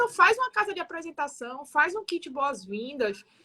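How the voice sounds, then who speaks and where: A woman with a high pitch projects a raised voice at a moderate pace, her pitch swinging very widely. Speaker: building manager. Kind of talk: radio talk show discussion.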